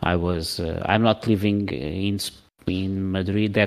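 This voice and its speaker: A man speaks at a very slow pace with a Portuguese accent. His voice is very deep and low. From Portugal. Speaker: podcast co-host. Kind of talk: casual chat.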